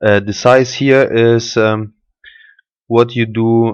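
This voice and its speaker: A man with a German accent at a very slow pace. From Germany. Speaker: software tutorial maker. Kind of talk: tutorial. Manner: halting, with fillers.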